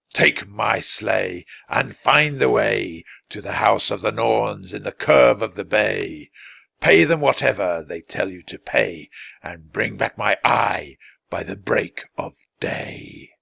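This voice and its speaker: In a put-on character voice, the speaker growls at a fairly slow pace in a raspy tone. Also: man. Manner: commanding, riddling.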